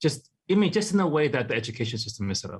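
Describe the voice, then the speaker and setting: Somewhat breathy, a man speaks with a Hawaiian accent. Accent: Hawaii English. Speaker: artist. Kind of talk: interview.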